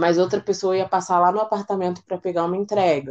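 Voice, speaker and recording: A woman at a fairly quick pace. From Brazil, São Paulo city (East Zone). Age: 20s. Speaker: cook and psychologist. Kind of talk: casual interview.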